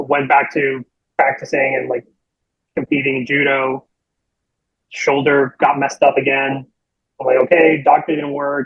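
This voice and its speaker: A man with a Spanish accent speaks at a moderate pace and a fairly high pitch. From Puerto Rico. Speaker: chiropractor. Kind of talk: podcast interview.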